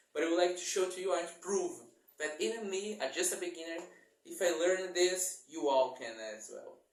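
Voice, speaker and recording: Heard with audible room echo, a man with a high pitch and ordinary pitch variation talks at a moderate pace. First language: not English. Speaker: bass guitar YouTuber. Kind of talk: casual channel introduction vlog. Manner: halting, self-correcting.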